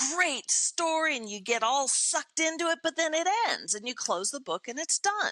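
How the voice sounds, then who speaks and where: Dry and close with no echo, a woman's raised, projected voice sounds bright, sharp and animated, with very wide pitch swings at a fairly slow pace. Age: 60s. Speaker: motivational speaker and performer. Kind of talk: podcast interview.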